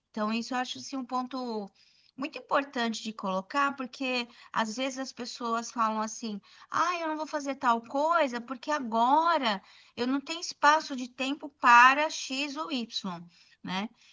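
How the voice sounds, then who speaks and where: A woman's high voice at a fairly slow pace. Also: ordinary pitch variation. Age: 60s. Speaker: documentary photographer, former educator. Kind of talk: podcast interview.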